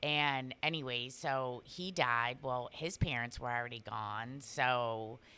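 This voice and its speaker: A very deep, low-pitched woman's voice at a fairly slow pace, on a very clean recording with a silent background. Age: middle-aged. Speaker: podcast co-host. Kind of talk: casual chat.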